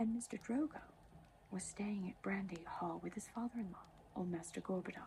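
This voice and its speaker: Soft-spoken and with vocal fry, a woman talks at a moderate pace in a medium pitch with a dark, mellow tone. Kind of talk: soft-spoken ASMR book reading, sleep aid. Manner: soft-spoken, relaxing.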